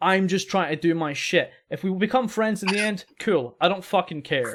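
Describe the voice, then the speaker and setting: On a very clean recording with a silent background, a man with a Scottish accent and a high pitch talks in an animated tone at a moderate pace. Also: ordinary pitch variation. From Scotland. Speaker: podcast host. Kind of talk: casual chat.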